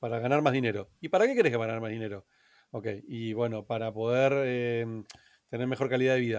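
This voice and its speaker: This man has an unremarkable speaking voice, medium in pitch, with fairly even intonation and a fairly quick pace. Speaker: entrepreneur. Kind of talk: interview.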